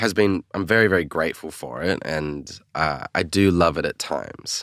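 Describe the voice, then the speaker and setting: A man with an Australian accent and a very deep, low pitch speaks at a moderate pace with ordinary pitch variation, in a dry, close sound with no echo. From Australia, Sydney. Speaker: singer-songwriter. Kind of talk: casual chat.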